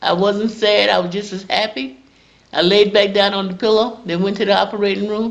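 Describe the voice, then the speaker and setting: A woman in a South Carolina accent, with a medium pitch and a moderate pace. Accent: Southern American (South Carolina). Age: 70s. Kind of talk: interview answer, personal testimony.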